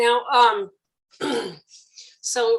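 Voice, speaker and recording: Loud speech with lively intonation. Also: woman. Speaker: podcast host. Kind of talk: interview. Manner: trying to talk loud.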